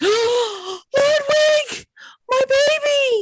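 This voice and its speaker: In a put-on character voice, the speaker uses an extremely high pitch. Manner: dramatic, anguished.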